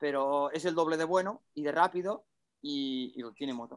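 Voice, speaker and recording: A man is speaking. His intonation is lively. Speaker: motocross rider and podcast host. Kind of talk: casual chat.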